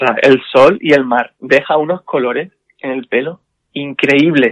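Speaking fairly slowly, a man uses a fairly high pitch with ordinary pitch variation. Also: dry, close sound with no echo. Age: 30s. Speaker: hairdresser and makeup artist. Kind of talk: casual interview. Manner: hesitant, many fillers.

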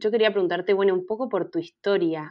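A woman with an Argentine accent speaks with fairly even intonation. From Argentina, Mendoza. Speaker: podcast host. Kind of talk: interview.

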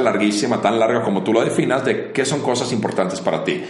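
A man speaks at a fairly quick pace amid noticeable background noise and audible room echo. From Finland. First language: Finnish (speaking Spanish). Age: 40s. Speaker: entrepreneur. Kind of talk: casual interview chat.

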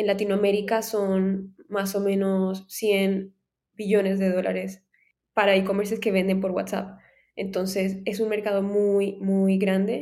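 At a fairly slow pace, a woman with a medium-pitched, dark and mellow voice speaks in a flat monotone. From Colombia, Cartagena. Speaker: tech startup founder. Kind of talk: interview.

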